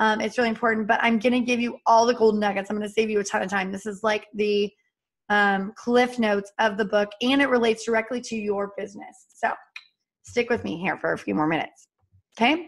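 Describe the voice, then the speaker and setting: A woman with a fairly high-pitched voice speaks at a fairly quick pace. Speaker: business trainer. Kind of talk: live training session. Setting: live stream. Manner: fast; animated.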